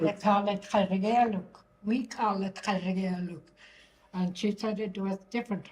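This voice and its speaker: A woman speaks at a fairly slow pace in a medium pitch. Her delivery is monotone and flat, and somewhat breathy. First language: Inuvialuktun. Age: 80s+. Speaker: elder. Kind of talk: casual chat.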